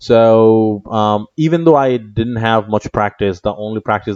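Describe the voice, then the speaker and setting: A man with a fairly low pitch speaks at a moderate pace with ordinary pitch variation. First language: Bengali. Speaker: lecturer. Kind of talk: lecture. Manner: halting, many fillers.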